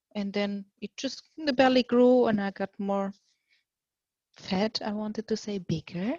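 Against a quiet background, a woman talks in a somewhat breathy voice with fairly even intonation. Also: dry, close sound with no echo. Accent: German. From Germany. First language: German. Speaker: mother sharing birth story. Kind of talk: testimony.

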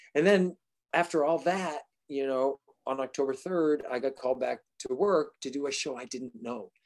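Speaking with an American accent in a plain, everyday voice, a man talks at a moderate pace with a fairly high pitch and ordinary pitch variation, and the sound is dry and close with no echo. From Massachusetts. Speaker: actor and singer. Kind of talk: casual chat.

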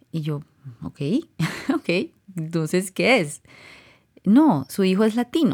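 The recording is very clean, and the background is silent. A woman talks at a medium pitch. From Colombia. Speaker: podcast host. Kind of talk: personal monologue.

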